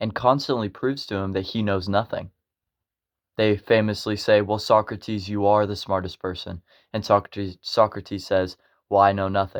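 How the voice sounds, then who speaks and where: In an American accent, a man with a fairly low pitch speaks at a moderate pace in a flat monotone, on a very clean recording with a silent background. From United States. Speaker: educational video creator. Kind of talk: explainer narration. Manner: halting, self-correcting.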